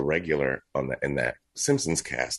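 Against a quiet background, a man with an American accent and vocal fry speaks at a moderate pace. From Texas. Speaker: actor and voice actor. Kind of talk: casual interview chat.

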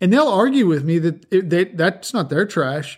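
Here a man speaks with a high pitch. The recording is very clean and the background silent. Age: 50s. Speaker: podcast host and construction contractor. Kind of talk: unscripted rant.

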